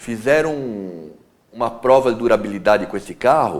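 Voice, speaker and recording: A man's fairly slow speech shows ordinary pitch variation, delivered in an ordinary speaking voice. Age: 60s. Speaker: classic car collector and restorer. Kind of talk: TV interview.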